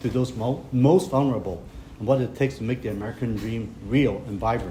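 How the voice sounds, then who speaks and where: Speaking at a fairly quick pace with lively intonation, a man with a Hong Kong accent sounds somewhat breathy against audible room echo. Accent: Hong Kong Cantonese-accented English. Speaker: county politician. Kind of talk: public speech. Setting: press conference at clinic opening.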